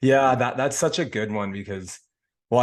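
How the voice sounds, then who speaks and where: With little behind him but quiet, a man is talking. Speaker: podcast host. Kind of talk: casual chat. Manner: fast.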